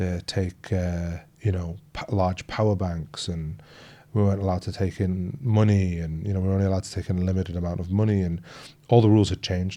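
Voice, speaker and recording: A very fast pace with fairly even intonation, in an English accent. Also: man, very deep, low pitch for a man. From northeast England. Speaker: emergency doctor. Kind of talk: interview conversation.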